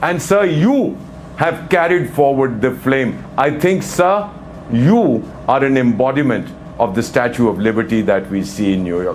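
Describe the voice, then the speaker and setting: At a medium pitch and a fairly slow pace, a man speaks in a passionate tone with very wide pitch swings. Audible room echo and noticeable background noise are present. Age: 70s. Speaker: former diplomat. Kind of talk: live TV discussion.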